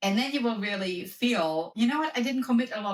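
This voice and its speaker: A woman talks with lively intonation in a German accent. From Germany. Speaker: wellness coach and professor. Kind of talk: podcast interview.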